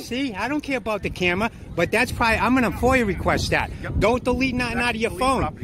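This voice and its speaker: With a Boston accent and an extremely high pitch, a man talks at a very fast pace with ordinary pitch variation, the sound dry with no echo over noticeable background noise. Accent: Boston, Massachusetts. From Massachusetts. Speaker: camera-wielding police auditor filming officers. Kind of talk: casual, profane street speech. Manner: confrontational, taunting. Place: street. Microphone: phone near.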